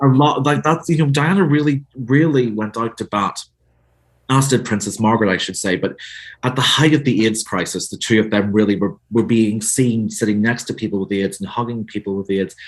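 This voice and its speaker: With a Northern Irish accent, a man talks at a fairly quick pace, his medium pitch showing ordinary variation. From Northern Ireland. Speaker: author. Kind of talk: interview.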